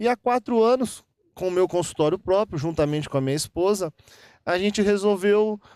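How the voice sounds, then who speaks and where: In a very clean recording with a silent background and a dry, close sound with no echo, a man with a high voice speaks at a moderate pace with lively intonation. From Minas Gerais, Brazil (Guaxupé). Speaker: dentist. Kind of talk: interview. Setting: golf club venue. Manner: clear; halting, with repetitions.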